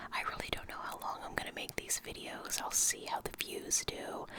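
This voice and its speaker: Someone whispers with an American accent at a moderate pace. Background noise is noticeable. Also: man. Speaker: ASMR creator. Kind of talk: casual talk to camera, ASMR reading intro. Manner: soft-spoken, whispered.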